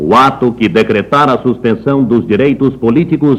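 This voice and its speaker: With an unremarkable speaking voice, a man talks at a fairly slow pace at medium pitch, his pitch varying in an ordinary way. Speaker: radio announcer. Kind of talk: official government radio broadcast read. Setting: 1960s radio broadcast recording.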